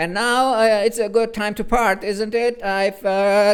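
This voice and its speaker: Music plays in the background as a man puts on a character voice. His pitch is high and his pace fairly slow. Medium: read story. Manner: fussy, sulky, self-pitying.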